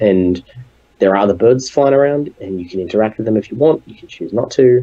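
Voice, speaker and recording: Very fast speech from a man with an Australian accent, fairly low in pitch with ordinary pitch variation, over noticeable background noise. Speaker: game developer. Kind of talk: interview. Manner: halting.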